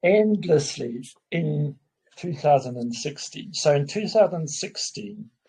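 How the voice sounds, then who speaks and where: A man with a South African accent, fairly high in pitch, somewhat breathy, dark and mellow in tone, with lively intonation at a very slow pace. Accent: Afrikaans South African English. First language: Afrikaans. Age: 50s. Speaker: businessman. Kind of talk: casual chat. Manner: halting.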